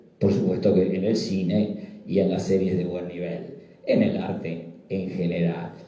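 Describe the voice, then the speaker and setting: A man talks at a fairly slow pace, his words carrying audible room echo over noticeable background noise. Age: 60s. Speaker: psychiatrist presenting a book. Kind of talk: book presentation talk. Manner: halting, repetitive fillers.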